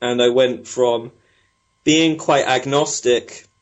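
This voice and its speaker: A man's medium-pitched voice in a British accent, with fairly even intonation. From Britain. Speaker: spiritual technologist, former PhD researcher. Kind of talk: interview.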